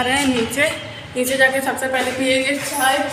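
At a fairly slow pace, a woman speaks in a raised, projected voice over noticeable background noise. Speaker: home vlogger. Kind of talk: casual vlog chat. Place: home room. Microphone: phone near.

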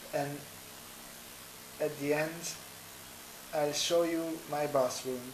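With a non-native accent and monotone, flat intonation, a man talks at a very slow pace in a fairly high pitch, with audible room echo and light background noise. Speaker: vlogger. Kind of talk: casual vlog talk to camera. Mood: friendly, upbeat. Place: home room. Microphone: webcam.

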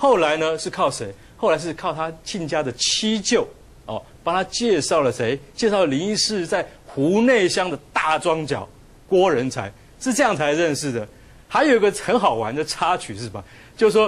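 A man's high voice at a moderate pace, with very wide pitch swings. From Taiwan. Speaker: journalist. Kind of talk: TV talk show panel. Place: studio. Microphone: lapel.

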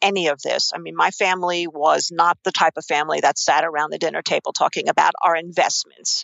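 At a fairly quick pace, a woman talks with a New York accent. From New York, Queens. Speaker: investing expert and author. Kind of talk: interview.

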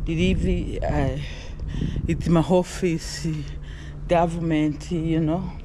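Over clear background noise, a woman speaks slowly at a low pitch with fairly even intonation.

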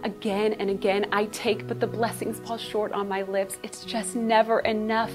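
A woman speaks at a fairly slow pace. Music plays clearly in the background. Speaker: church member. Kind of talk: spoken word poetry. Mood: emotional, near tears, pleading. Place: studio.

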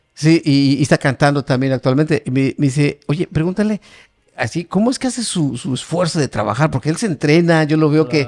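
A man's fairly high voice, an ordinary speaking voice, with lively intonation at a fairly quick pace. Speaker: podcast co-host, channel director; podcast co-host. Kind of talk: casual interview. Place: studio. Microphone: studio mic.

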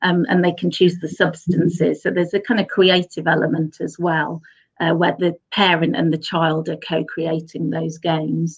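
Against a quiet background, a woman with a fairly low, somewhat breathy voice speaks at a moderate pace with fairly even intonation. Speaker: psychology researcher. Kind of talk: lecture. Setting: video call. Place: home room. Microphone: webcam.

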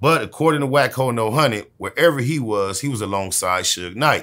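A bright, sharp tone with lively intonation at a moderate pace, over a quiet background. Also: man. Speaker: interviewee. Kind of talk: interview answer. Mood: dismissive, sarcastic storytelling. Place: home room.

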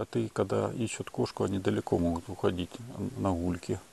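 This man talks at a moderate pace with ordinary pitch variation and a dark, mellow tone. Vocal fry runs through his voice, and the sound is dry and close with no echo. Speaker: video blogger. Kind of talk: casual monologue vlog. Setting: outdoors at night.

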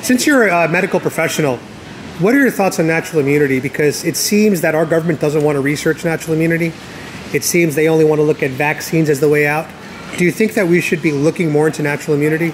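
A man speaks at a very fast pace with a fairly high pitch. His pitch varies in an ordinary way over light background noise. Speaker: YouTuber doing street interviews. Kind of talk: street interviews. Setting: outdoors. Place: street. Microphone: phone near.

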